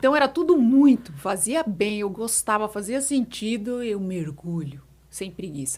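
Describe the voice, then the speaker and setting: A woman with a fairly high pitch speaks at a fairly slow pace in a somewhat breathy voice, her pitch swinging very widely and her loudness rising and falling a great deal. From São Paulo, Brazil. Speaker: etiquette mentor. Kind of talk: podcast interview answer.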